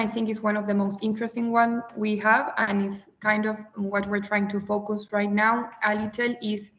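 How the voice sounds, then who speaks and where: A woman speaks at a moderate pace with an Argentine accent. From Argentina. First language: Spanish. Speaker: webinar participant presenting her organization. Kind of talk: webinar presentation. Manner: halting, with fillers.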